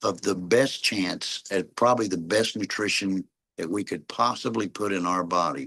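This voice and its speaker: A man with an American accent speaks at a moderate pace with ordinary pitch variation. The background is quiet. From Oklahoma. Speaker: network marketing leader. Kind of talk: video call meeting talk.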